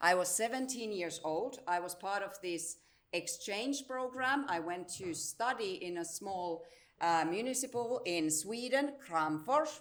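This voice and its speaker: Speaking at a fairly slow pace in a Finnish accent, a woman uses lively intonation while audible room echo surrounds her. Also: medium pitch for a woman. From Finland, Salo area (southwest). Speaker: integration service director and teacher. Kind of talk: conference presentation.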